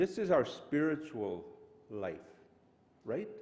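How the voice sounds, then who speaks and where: His pitch swings very widely as a man talks at a fairly slow pace. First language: Cree. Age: 70s. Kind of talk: opening blessing speech.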